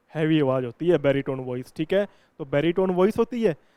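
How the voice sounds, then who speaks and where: Lively intonation marks a man's speech, carried in a dark, mellow tone. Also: dry, close sound with no echo. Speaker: English grammar teacher. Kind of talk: lecture. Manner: explanatory, repetitive.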